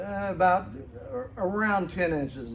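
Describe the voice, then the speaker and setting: A man speaks with ordinary pitch variation in a space with audible room echo. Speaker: car restoration hobbyist. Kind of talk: tutorial. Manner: mumbling; halting.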